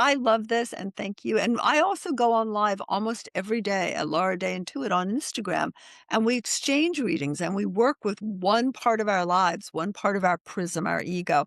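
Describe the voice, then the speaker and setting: A woman speaks at a moderate pace and medium pitch with hardly any pauses, her voice dry and close with no echo against a quiet background. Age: 60s. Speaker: intuitive and self-help author. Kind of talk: podcast interview. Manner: halting, many false starts.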